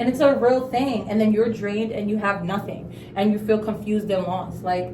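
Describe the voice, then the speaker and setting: A woman with a fairly high pitch speaks at a fairly quick pace with ordinary pitch variation. There is audible room echo and noticeable background noise. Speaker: beauty vlogger. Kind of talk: casual storytime chat during skincare routine. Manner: fast talker.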